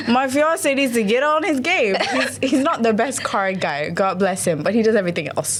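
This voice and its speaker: A woman speaks at a fairly high pitch in an animated tone, with very wide pitch swings, very even loudness and hardly any pauses at a moderate pace. Audible room echo and noticeable background noise come through in the recording. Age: 20s. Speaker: doctor and social media creator. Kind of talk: casual chat.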